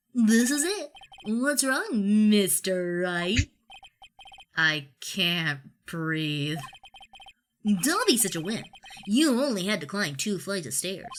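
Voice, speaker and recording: A put-on character voice sounds female and sits at a middle pitch. It moves at a very slow pace, with long, frequent pauses. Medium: solo performance. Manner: jokey, laughing.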